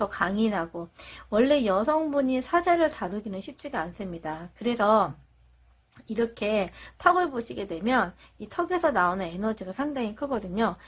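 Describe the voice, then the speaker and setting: On a very clean recording with a silent background, a woman with a fairly high, somewhat breathy voice talks at a moderate pace as her pitch swings very widely. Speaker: tarot reader. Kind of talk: tarot reading monologue.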